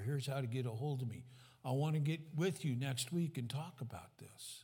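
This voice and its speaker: With a dark, mellow tone and a somewhat breathy quality, a man with a fairly high pitch speaks at a fairly quick pace and ordinary pitch variation, with audible room echo. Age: 70s. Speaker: pastor. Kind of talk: sermon.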